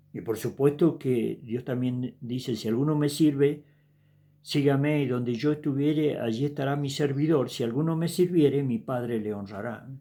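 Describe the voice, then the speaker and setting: Dark, mellow speech with an Argentine accent at a moderate pace and ordinary pitch variation, on a very clean recording with a silent background. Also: man. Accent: Rioplatense Argentine Spanish. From Argentina. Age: 70s. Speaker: evangelist preacher. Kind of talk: sermon. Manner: casual, conversational.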